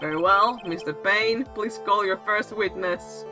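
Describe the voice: A female-sounding, squeaky put-on character voice at medium pitch speaks at a fairly slow pace, with clear music in the background.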